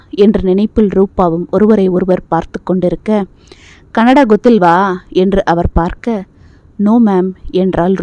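Reading voice, unforced

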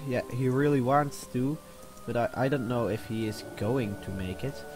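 With music in the background, a man speaks at a fairly slow pace. His intonation is lively. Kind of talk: casual gameplay commentary. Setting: new microphone.

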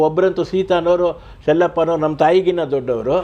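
This man has a high pitch and a dark, mellow tone. His intonation stays fairly even. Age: 70s. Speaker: retired telephone engineer, relative of a film actor. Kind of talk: interview reminiscence.

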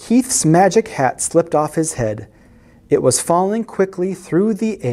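The speaker uses a natural reading voice. Nothing else stands out.

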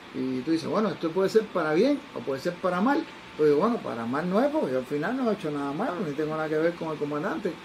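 A man speaks at a very fast pace. Light background noise sits behind him. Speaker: interviewee. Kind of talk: interview answer, storytelling. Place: office.

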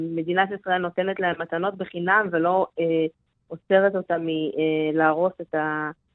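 Speaking at a very slow pace, a woman with a fairly low pitch keeps her intonation monotone and flat. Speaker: field school director, activist. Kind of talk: radio interview.

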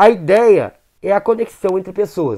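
A man talks fairly slowly in a high pitch, with an animated tone and ordinary pitch variation. The background is quiet. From southern Brazil. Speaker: gaming YouTuber. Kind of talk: casual gaming video commentary.

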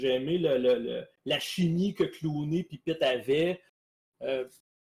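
A man speaks with a Quebec accent. His voice is high in pitch. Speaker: podcast panelist. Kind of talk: casual chat.

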